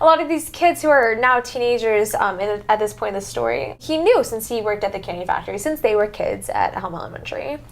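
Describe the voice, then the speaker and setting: Talking at a very fast pace, a woman is heard with noticeable background noise behind her. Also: hardly any pauses. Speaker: true crime podcaster. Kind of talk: casual conversation narrating a case. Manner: hesitant, many fillers.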